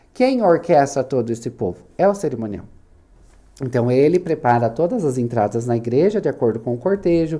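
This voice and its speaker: His intonation is lively. The man talks at a fairly quick pace. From southern Brazil, Santa Catarina (Itaiópolis). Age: 30s. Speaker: wedding planner and business owner. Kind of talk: podcast interview. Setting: studio.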